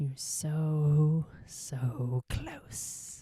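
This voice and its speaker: The voice is a whisper. It is a put-on character voice. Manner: whispering, coaxing.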